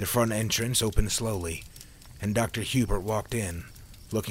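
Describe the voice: The voice reads aloud. The reading is plain.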